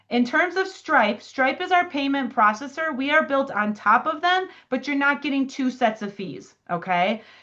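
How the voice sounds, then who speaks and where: A woman's high-pitched, raised, projected voice with a bright, sharp tone and lively intonation, at a moderate pace with hardly any pauses, over a quiet background. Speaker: software product trainer. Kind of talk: software demo tutorial. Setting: video call.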